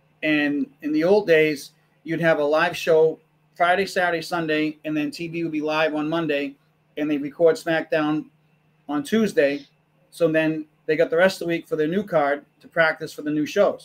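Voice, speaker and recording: At a moderate pace, a man with a fairly high pitch uses an ordinary speaking voice with fairly even intonation. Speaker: wrestling podcast co-host. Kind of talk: casual chat.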